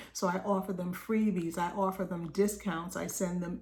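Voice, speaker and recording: A woman's somewhat breathy, dark, mellow voice at a medium pitch, with fairly even intonation, a fairly slow pace and audible room echo. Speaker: business coach. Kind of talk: group coaching talk.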